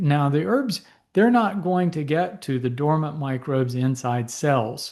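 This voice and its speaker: A man with an ordinary speaking voice, fairly high in pitch, with lively intonation at a moderate pace against a quiet background. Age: 60s. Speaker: physician and herbal medicine educator. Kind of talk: lecture. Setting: presentation to a support group audience.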